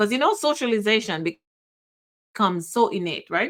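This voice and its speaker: A woman with a Jamaican accent. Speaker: podcast host. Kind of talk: personal reflection. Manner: halting.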